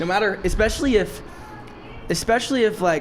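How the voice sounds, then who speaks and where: A man speaks loudly at a fairly quick pace, in an animated tone with ordinary pitch variation. Noticeable background noise runs underneath. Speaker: podcast host and drink shop owner. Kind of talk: casual interview chat.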